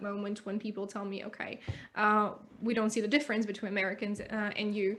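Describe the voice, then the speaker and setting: A woman speaks with a bright, sharp tone. Her pitch sits fairly high. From Russia. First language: Russian. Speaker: English teacher. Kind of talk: casual interview chat.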